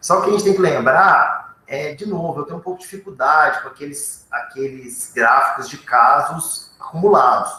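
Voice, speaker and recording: A man speaks at a moderate pace with hardly any pauses, his loudness swinging widely. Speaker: researcher on covid testing. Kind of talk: panel discussion answer.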